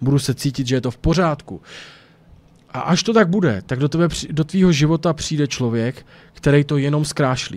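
At a fairly quick pace, a man talks in an animated tone with a fairly high pitch and ordinary pitch variation. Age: 30s. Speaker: YouTuber; streamer. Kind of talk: casual vlog monologue. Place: home room. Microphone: studio mic.

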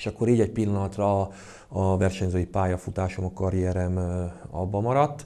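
Fairly quick and very deep, this man's voice has a dark, mellow tone and ordinary pitch variation. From Hungary. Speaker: karate club president and coach. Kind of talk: casual interview. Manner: halting, hesitant with repetitions. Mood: calm, reflective. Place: gym.

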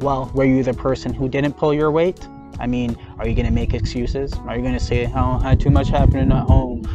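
A man's fairly quick voice, dry and echo-free, with clear music behind it. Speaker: mindfulness channel host. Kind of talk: motivational talk. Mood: firm, challenging. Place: open country. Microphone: lapel.

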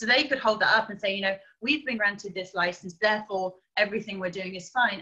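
Speaking at a very fast pace in an English accent, a woman has a medium pitch, a bright, sharp tone, ordinary pitch variation and big swings in loudness, over a quiet background. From England. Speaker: primate sanctuary director; guest. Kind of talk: interview. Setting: video call. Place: home room. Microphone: video call.

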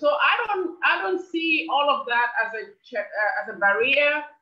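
Her voice is high and swings very widely in pitch. The woman's room echo is audible over a quiet background. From Gambia. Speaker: presidential aspirant; interviewee. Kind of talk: interview. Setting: video call. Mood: earnest, persuasive. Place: home room. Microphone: video call.

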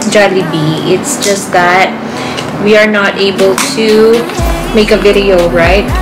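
A woman at a fairly slow pace over clear music in the background. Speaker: family vlogger. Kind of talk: casual vlog chat. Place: home room. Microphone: phone near.

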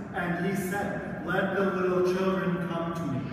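A man is speaking in a space with audible room echo. Loud background noise sits behind him. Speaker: priest. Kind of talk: scripture reading then sermon. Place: church. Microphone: camera far.

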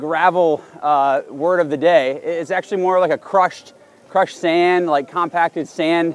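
With a dry sound, no echo and light background noise, a man speaks at a high pitch and moderate pace with fairly even intonation. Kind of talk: commentary. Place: open country.

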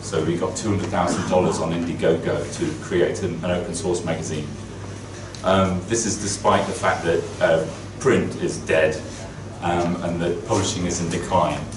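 Over noticeable background noise, a man with a very deep, low pitch talks at a moderate pace, with fairly even intonation and long, frequent pauses. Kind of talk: keynote talk. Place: office. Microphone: camera far.

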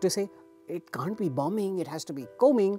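A woman talks at a fairly quick pace with ordinary pitch variation, in a dry sound with no echo and faint music in the background. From India. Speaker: former TV newsreader. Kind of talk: interview answer. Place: studio. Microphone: lapel.

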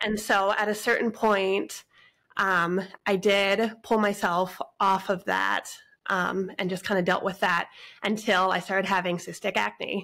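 Bright and sharp in tone, a woman with an American accent speaks fairly slowly in a monotone, flat intonation with vocal fry. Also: medium pitch for a woman, very clean recording, silent background. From western US. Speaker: guest sharing family food journey. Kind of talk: casual podcast interview.

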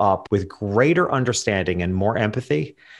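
With lively intonation and a fairly quick pace, a man talks over a quiet background. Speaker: portrait photographer and business coach; business coach. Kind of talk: interview conversation. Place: home room. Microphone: studio mic.

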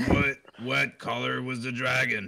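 A man speaks at a fairly slow pace with a medium pitch, a bright, sharp tone, little pitch movement and vocal fry.

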